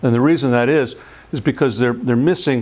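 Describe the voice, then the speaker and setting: The speaker is a man. His pitch is medium. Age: 60s. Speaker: scientist. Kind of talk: lecture. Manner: halting, with frequent repetitions.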